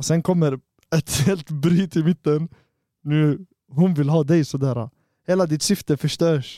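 At a fairly slow pace, a dark, mellow voice with fairly even intonation leaves long, frequent pauses, the sound dry and close with no echo on a very clean recording with a silent background. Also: man, fairly high pitch for a man. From Sweden, Borås (Tunisian family). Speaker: podcast co-host. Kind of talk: casual chat. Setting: studio.

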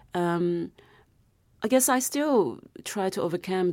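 With a Chinese accent, a woman speaks in a lively, up-and-down intonation. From South China. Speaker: novelist. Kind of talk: interview.

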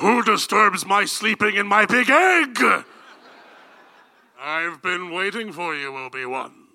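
A man's raised, projected voice at a high pitch, with very wide pitch swings, a fairly slow pace, and long, frequent pauses. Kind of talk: comic parody film read. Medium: stage play. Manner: menacing, portentous, self-mocking.

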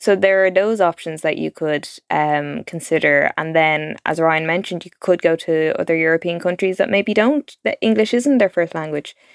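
A woman with a Dublin accent speaks in a fairly low pitch, and the sound is dry and close with no echo. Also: ordinary pitch variation, moderate pace, very clean recording, silent background. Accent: Dublin Irish. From Dublin, Ireland. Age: 20s. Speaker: journalist. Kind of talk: interview.

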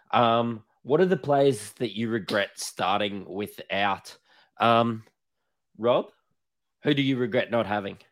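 In a very clean recording with a silent background, a man with an Australian accent talks at a very slow pace, his pitch medium with ordinary variation. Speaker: podcast host. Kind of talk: casual chat.

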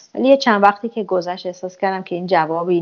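A woman's very fast delivery with ordinary pitch variation. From Iran, Tehran. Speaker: traveller and mother. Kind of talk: interview.

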